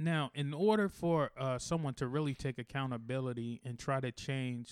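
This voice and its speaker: A man's ordinary speaking voice at medium pitch, with ordinary pitch variation. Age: 30s. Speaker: podcast co-host. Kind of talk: show promo outro; casual chat.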